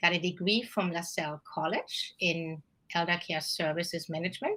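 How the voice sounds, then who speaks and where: A woman with a German accent speaks at a moderate pace in a fairly low, bright and sharp voice with fairly even intonation. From Germany. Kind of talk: interview.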